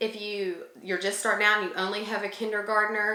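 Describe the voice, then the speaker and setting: The woman talks at a fairly quick pace. Audible room echo and noticeable background noise fill the recording. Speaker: homeschooling mom and channel co-host. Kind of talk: casual tutorial talk to camera. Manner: fast; chatty with many fillers.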